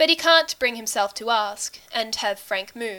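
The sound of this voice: Lively intonation in an unforced reading voice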